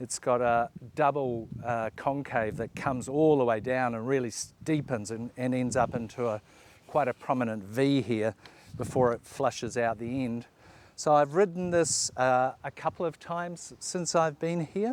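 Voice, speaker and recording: Medium in pitch, a man speaks in a New Zealand accent. His pace is moderate, with ordinary pitch variation. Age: 60s. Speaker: surfing vlogger. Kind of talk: casual talk to camera, gear review. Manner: halting, many fillers.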